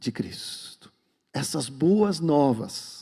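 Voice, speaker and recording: Very wide pitch swings mark this man's dark, mellow tone, set at a fairly high pitch. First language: Swedish (speaking Portuguese). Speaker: pastor. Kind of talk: sermon; prayer.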